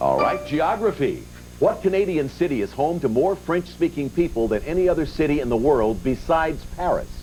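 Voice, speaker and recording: Music plays in the background as a man speaks in an upbeat tone at a fairly quick pace, his loudness very even. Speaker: game show host. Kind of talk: game show hosting, upbeat banter with contestants and audience. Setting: TV studio with live audience. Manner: upbeat, friendly, jovial.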